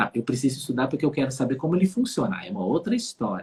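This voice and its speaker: Somewhat breathy and fairly high in pitch, a man's voice moves through very wide pitch swings. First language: Dutch (speaking Portuguese). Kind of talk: casual conversation on a live stream.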